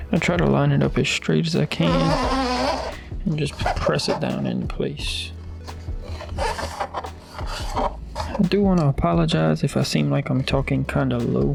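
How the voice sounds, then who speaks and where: Someone soft-spoken talks at a fairly slow pace while music plays in the background. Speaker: RC hobby YouTuber. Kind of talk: tutorial.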